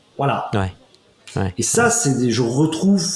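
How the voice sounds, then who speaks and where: Noticeable background noise behind a man talking at a moderate tempo. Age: 50s. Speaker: comedian and former finance executive. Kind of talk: interview. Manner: halting.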